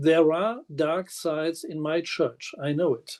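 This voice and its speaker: Here a man with a German accent speaks at a fairly slow pace in a high pitch with a dark, mellow tone. The sound is dry and close with no echo, over a quiet background. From Germany. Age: 60s. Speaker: minister and physiotherapist. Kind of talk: prepared self-introduction.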